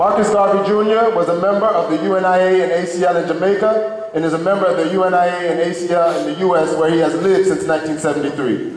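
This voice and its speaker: Very fast speech comes with light background noise and audible room echo. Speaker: event presenter introducing honoree. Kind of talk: formal speaker introduction read aloud. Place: hall. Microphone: pa.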